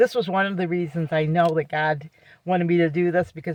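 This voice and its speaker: At a fairly quick pace, a woman with an unremarkable speaking voice and fairly low pitch is heard in a dry, close sound with no echo. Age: 60s. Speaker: vlogger and caregiver for her husband. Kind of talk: casual vlog talk. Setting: in a car. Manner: conversational, with frequent fillers.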